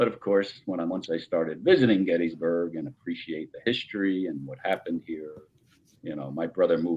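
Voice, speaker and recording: A man with a New Jersey accent speaks at a fairly quick pace in a very deep, low pitch. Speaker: paranormal investigator. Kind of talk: casual chat. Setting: podcast.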